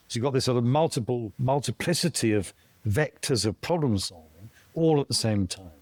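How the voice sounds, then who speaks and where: The recording is very clean, with a silent background and a dry, close sound with no echo. A man with a southern English accent talks at medium pitch and a fairly quick pace, with lively intonation. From southern England (Kent). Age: 60s. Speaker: tech thinker, former construction worker. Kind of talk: casual interview conversation.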